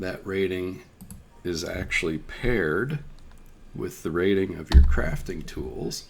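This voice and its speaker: Very deep and low, a man's voice with vocal fry moves at a very slow pace with long, frequent pauses, lively intonation and big swings in loudness. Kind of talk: game tutorial narration.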